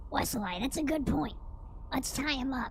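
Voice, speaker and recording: A woman puts on a high-pitched character voice at a moderate pace. Background noise is clearly audible. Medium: actual play.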